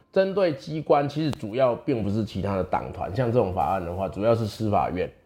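With a dark, mellow tone, a man speaks at a medium pitch and a fairly quick pace, his pitch swinging very widely. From Taiwan, Chiayi mountains. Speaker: legislator and lawyer. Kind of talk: interview. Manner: many fillers and hesitations.

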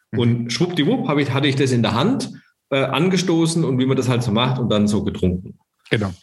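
A man's somewhat breathy voice, lively in intonation and very even in loudness. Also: medium pitch for a man, fairly quick pace. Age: 40s. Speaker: startup founder. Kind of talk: interview.

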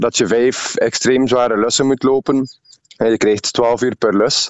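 Speaking at a fairly slow pace, a man with a medium-pitched voice keeps his intonation fairly even. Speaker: ultramarathon runner. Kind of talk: radio interview.

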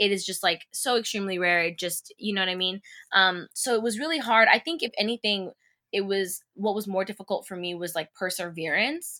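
In a very clean recording with a silent background, a woman speaks fairly quickly at medium pitch, her bright, sharp voice showing ordinary pitch variation. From California, Bakersfield. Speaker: actress. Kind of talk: casual interview.

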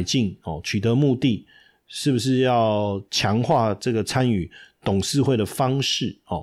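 A man with a Taiwanese accent talks at a fairly slow pace and a medium pitch, with ordinary pitch variation. The recording is very clean, with a silent background. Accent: Taiwanese Mandarin. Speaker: stock market podcast host, finance professor. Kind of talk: casual market commentary. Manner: chatty, many filler particles.

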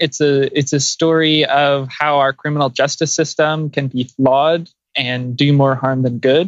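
A man speaks in a fairly high pitch. His pace is moderate. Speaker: climate policy advocate. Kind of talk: interview.

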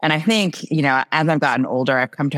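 The recording is very clean, with a silent background and a dry, close sound with no echo. A woman speaks in an American accent. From New Jersey. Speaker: tech founder and marketing executive. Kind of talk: casual interview.

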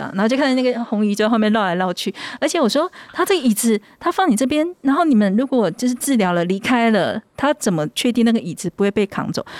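A woman's fairly high voice, very fast and full of very wide pitch swings, in a dry, close recording with no echo. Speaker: surgeon and author. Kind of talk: casual chat.

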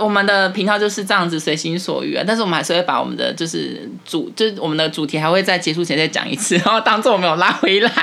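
Amid noticeable background noise, a woman talks at a very fast pace with hardly any pauses, using a medium pitch and ordinary pitch variation. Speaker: podcast co-host, office worker. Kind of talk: casual chat.

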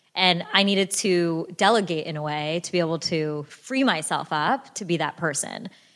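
At a moderate pace with hardly any pauses, a woman speaks in an ordinary speaking voice, fairly low in pitch and with ordinary pitch variation. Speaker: startup founder and former CEO. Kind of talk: live interview. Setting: stage at a live event.

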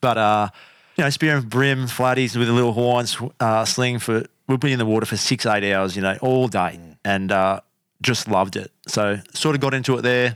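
A man speaks at a moderate pace and medium pitch, with ordinary pitch variation and very even loudness. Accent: Australian. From Australia, Canberra. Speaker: podcast host and spearfisher. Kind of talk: casual interview chat.

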